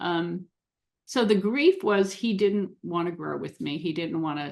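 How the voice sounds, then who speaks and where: Against a quiet background, a woman talks at a fairly slow pace and medium pitch in an unremarkable speaking voice. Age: 60s. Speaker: relationship coach for neurodiverse couples. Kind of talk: podcast interview.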